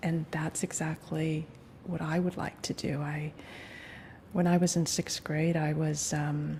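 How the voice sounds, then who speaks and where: Over noticeable background noise, a woman with a very deep, low pitch talks fairly slowly in a flat monotone. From Hawaii. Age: 40s. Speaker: interviewee, mother. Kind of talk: recorded oral history interview. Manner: halting, many fillers.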